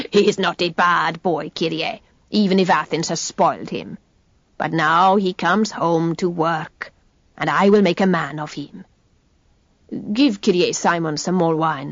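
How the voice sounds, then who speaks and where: A gruff, put-on character voice sits at a middle pitch. It moves at a moderate pace with long, frequent pauses. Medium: read story.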